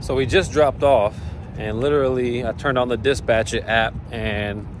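Here a man speaks at a moderate pace with ordinary pitch variation. The sound is dry with no echo, with light background noise behind it. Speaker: truck driver vlogger. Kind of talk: casual vlog chat. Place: street. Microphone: phone near.

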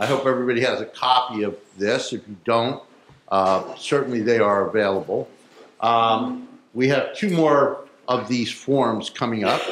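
A man speaks with ordinary pitch variation. Audible room echo and light background noise are present. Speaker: elected official hosting hearing. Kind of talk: public meeting announcements and address. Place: hall. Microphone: podium.

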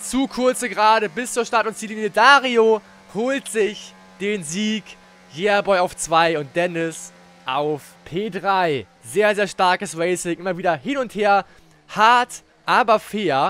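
This man speaks at a very slow pace. His pitch sits high, with ordinary variation. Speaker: gaming YouTuber and race commentator. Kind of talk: live-style esports race commentary over replay footage. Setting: studio/home recording, voiceover on game footage.

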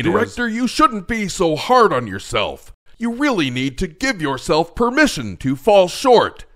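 A man puts on a character voice, high for a man, with very wide pitch swings at a moderate pace.

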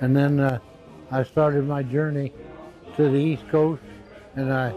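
The speech moves at a fairly slow pace with fairly even intonation. Faint music plays in the background. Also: man. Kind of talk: interview answer. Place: home room. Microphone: lapel.

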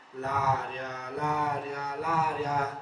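Noticeable background noise accompanies a man talking at a fairly high pitch. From Naples, Italy. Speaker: poet. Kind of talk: poetry reading.

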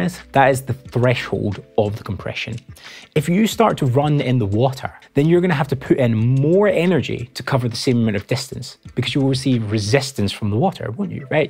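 A man talks fairly quickly while faint music runs behind him. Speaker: audio engineer educator. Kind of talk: tutorial. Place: studio. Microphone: lapel.

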